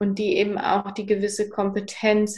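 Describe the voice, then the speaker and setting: A woman talks at a medium pitch. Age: 30s. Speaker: psychotherapy practitioner and author. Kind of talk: interview, personal story.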